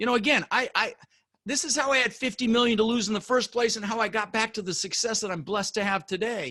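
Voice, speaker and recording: Raised and projected, a man's high voice races along at a very fast pace with ordinary pitch variation and an intense, animated, bright, sharp tone. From Colorado, US (immigrated from the Netherlands at six). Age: 60s. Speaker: real estate investor. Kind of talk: interview.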